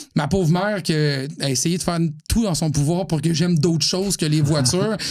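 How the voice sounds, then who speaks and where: In a Quebec accent, a man talks with a high pitch. His loudness stays very even, and the room echo is audible. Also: ordinary pitch variation, moderate pace. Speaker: automotive journalist. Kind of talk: podcast interview. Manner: clear diction, radio-trained.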